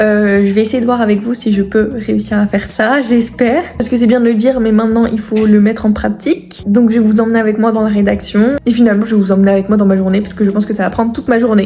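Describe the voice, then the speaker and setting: Speech rushes by at a very fast pace with hardly any pauses. Intonation stays fairly even over noticeable background noise. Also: woman, fairly high pitch for a woman. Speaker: writing YouTuber and author. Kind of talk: casual vlog. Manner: hesitant with frequent fillers.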